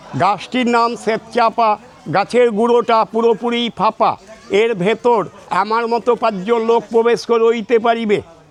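A man speaks in a theatrical tone at an extremely high pitch, his intonation monotone and flat. His loudness stays very even against noticeable background noise. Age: old. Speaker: tour guide. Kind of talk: guided tour commentary. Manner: theatrical, jatra-like delivery.

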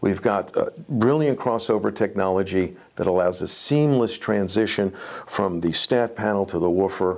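A man's low-pitched voice with vocal fry, a moderate pace, few pauses and ordinary pitch variation

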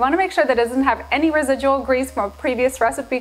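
This woman speaks at a high pitch. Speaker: cooking show host. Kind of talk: tutorial. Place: kitchen. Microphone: lapel.

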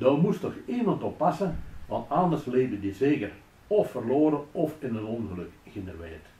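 A man speaks in a Belgian Limburg accent at a moderate pace, his fairly high pitch swinging very widely. His tone is dark and mellow, with vocal fry and audible room echo. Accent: Flemish Limburg local dialect. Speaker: local dialect storyteller. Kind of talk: humorous story read in local dialect. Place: office.

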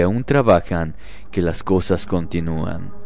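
A man's very slow delivery in a solemn, dramatic tone. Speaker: horror story narrator. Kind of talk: scripted horror story narration, first-person ghost tales read aloud. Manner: slow, hushed and suspenseful, with dramatic pauses and a tense, eerie tone; solemn and deliberate, building dread toward the frightening moments.

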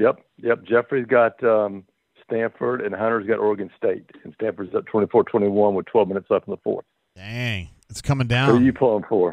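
A man is heard in a dry sound with no echo and a quiet background. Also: fairly even intonation, moderate pace. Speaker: radio caller. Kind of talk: casual call-in chat. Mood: relaxed, friendly. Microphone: phone line.

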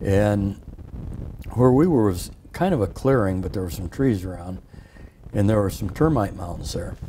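Over light background noise, a man with a Midwestern American accent speaks. His pitch is fairly low and his intonation lively. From Iowa, Sioux City; Iowa. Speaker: war veteran. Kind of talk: interview storytelling. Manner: halting. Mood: calm, reflective. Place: studio. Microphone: lapel.

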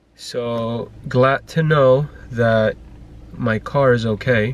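A man speaks over light background noise in a dry recording with no echo. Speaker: family vlogger. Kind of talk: casual vlog chat. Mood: annoyed, venting. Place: car. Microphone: phone near.

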